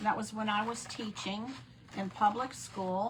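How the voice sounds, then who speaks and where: Amid noticeable background noise, a woman of medium pitch speaks at a fairly slow pace. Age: 60s. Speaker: crafting instructor, former math teacher. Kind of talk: live craft tutorial. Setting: live stream event. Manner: casual, chatty.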